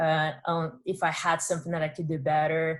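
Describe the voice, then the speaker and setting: A woman speaks in a Brazilian accent at a moderate pace. Her pitch is fairly low. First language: Portuguese. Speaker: entrepreneur, former college athlete. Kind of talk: workshop talk.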